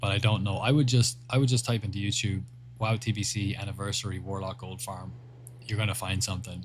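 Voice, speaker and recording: A somewhat breathy, fairly low-pitched man's voice at a very fast pace. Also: fairly even intonation. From Ireland. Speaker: gaming livestreamer. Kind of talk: casual livestream chat reading viewer messages.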